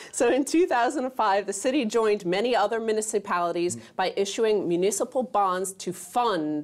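A woman's unremarkable speaking voice at medium pitch and a moderate pace, with lively intonation. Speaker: co-host. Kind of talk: casual discussion.

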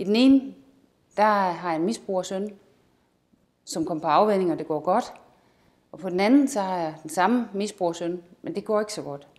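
Against a quiet background, a woman speaks at a moderate pace with a medium pitch and lively intonation. Her loudness swings widely, and she takes long, frequent pauses. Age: 50s. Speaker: amateur actor. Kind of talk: self-presentation. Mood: warm, calm. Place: studio.

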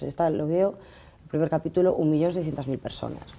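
Talking very fast, a woman uses a very deep, low pitch and a dark, mellow tone, with fairly even intonation. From Galicia, Spain. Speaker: actress. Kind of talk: casual interview. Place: studio. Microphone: lapel.

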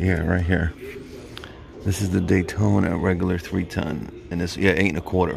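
Against noticeable background noise, a man with a very deep, low pitch speaks with fairly even intonation in a dry sound with no echo. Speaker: tool reviewer. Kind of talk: casual vlog commentary. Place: shop. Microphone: phone near.

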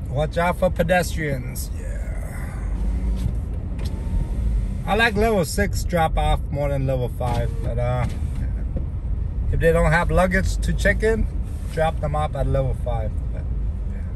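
The speech moves at a fairly slow pace with long, frequent pauses, in a dry sound with no echo and noticeable background noise. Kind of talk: casual vlog chat. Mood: relaxed, playful. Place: car. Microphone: phone near.

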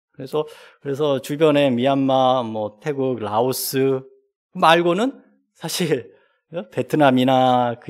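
Against a quiet background, a man talks very slowly, his pitch varying in an ordinary way. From South Korea. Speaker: professor. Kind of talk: academic discussant commentary. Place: classroom. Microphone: podium.

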